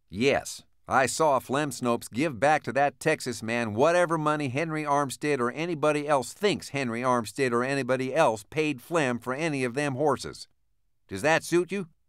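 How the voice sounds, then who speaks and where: A man puts on a growling character voice, fairly high in pitch. He keeps a moderate pace and ordinary pitch variation. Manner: snarling, sarcastic.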